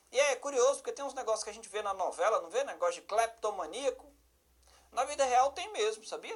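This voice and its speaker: A man talks at a very fast pace in an extremely high voice with lively intonation. He speaks with a northeastern Brazilian accent. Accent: northeastern Brazilian, southern Paraíba. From Brazil, Federal District (Ceilândia). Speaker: law teacher for police exams, judge. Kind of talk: online lecture. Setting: live-streamed class. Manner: animated, conversational.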